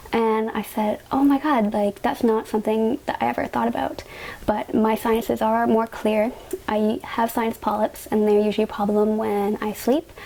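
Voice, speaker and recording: Moderate pace, fairly even intonation, and a Canadian accent over noticeable background noise. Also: woman. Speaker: patient sharing health experience. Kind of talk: personal testimony vlog. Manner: casual, uses fillers.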